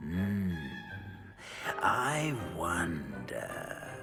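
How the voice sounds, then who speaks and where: A low, put-on character voice plays over clear music in the background. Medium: machinima. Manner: slow, musing, with many hums.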